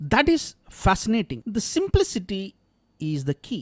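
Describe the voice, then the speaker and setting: A man with a Keralan accent talks at a fairly slow pace in a high voice. The sound is dry and close, with no echo. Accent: Indian, Kerala. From India, Kerala. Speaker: podcast host. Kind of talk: scripted narration.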